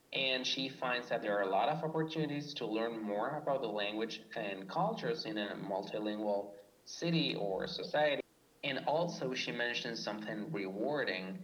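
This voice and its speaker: A man at medium pitch with lively intonation and a moderate pace, amid noticeable background noise. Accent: Spanish. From Argentina. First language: Spanish. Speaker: PhD student in linguistics. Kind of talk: scripted podcast discussion.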